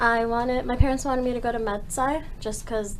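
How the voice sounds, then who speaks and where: A woman talks at a fairly quick pace with fairly even intonation. Audible room echo surrounds her voice. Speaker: first-year university student. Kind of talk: panel discussion. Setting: studio.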